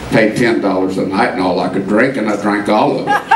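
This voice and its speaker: Loud background noise runs under a man speaking at a fairly slow pace. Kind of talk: storytelling stage banter. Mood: wry, humorous.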